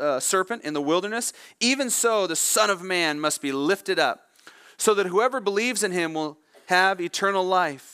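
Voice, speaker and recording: Against a quiet background, a man with a bright, sharp tone uses a raised, projected voice with ordinary pitch variation. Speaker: preacher. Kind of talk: sermon. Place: church.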